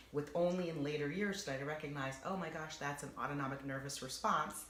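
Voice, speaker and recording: Over noticeable background noise, the speaker talks at a fairly quick pace in an animated tone. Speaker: voice and acting coach. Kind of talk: interview.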